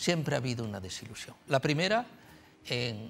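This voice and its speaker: A man speaks with music playing in the background. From Spain. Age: 80s+. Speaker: writer and journalist. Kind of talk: TV talk show interview. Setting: TV studio with audience. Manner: halting, many fillers.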